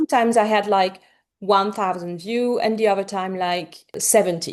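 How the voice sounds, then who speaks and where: A woman with a slight French accent, medium in pitch with ordinary pitch variation, at a moderate pace against a quiet background. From France. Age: 40s. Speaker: romance author. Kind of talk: interview. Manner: animated.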